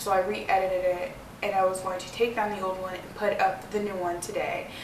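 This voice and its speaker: A woman talks at a fairly quick pace, with audible room echo and noticeable background noise around her. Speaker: vlogger. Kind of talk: personal vlog. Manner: fast.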